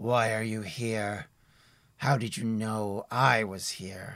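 In a very clean recording with a silent background, a man puts on a character voice at a medium pitch, speaking very slowly. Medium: actual play. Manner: cold, menacing.

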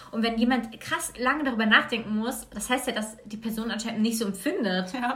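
A woman's fairly high voice at a fairly quick pace, with ordinary pitch variation, hardly any pauses and noticeable background noise. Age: 20s. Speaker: guest. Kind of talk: casual chat. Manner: halting.

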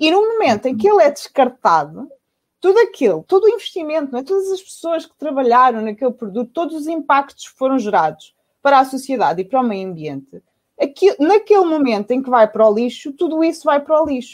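This woman has a European Portuguese accent and a high pitch, speaking at a fairly quick pace. Her pitch swings very widely, and her loudness rises and falls in big swings. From Portugal, south bank of the Tejo (Lisbon area). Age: 30s. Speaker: circular economy entrepreneur. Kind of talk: online panel talk. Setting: video call from home. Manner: halting, many fillers and repetitions.

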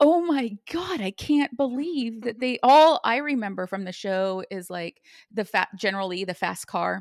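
At a moderate pace, a woman speaks with a fairly high pitch, very wide pitch swings and an animated tone, in a dry, close sound with no echo. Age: 40s. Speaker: podcast co-host. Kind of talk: casual chat. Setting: video call.

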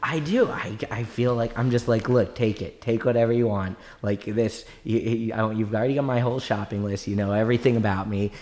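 A man with an American accent talks at a fairly quick pace in an ordinary speaking voice. His medium pitch keeps fairly even intonation. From Maryland, US. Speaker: rabbi and bitcoin commentator. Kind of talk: casual chat. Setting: studio.

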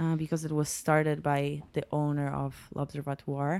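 A woman with a Polish accent is heard on a very clean recording with a silent background. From Poland, Poznań. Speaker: lighting designer. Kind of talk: casual interview. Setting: home kitchen.

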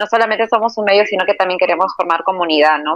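Pitch varies in an ordinary way in a plain, everyday voice. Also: woman. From Peru. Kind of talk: interview.

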